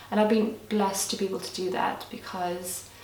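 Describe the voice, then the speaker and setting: A woman with a Lithuanian accent speaks at medium pitch and a moderate pace, her intonation monotone and flat. Audible room echo and noticeable background noise surround her voice. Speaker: lifestyle vlogger. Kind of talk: casual Q&A vlog.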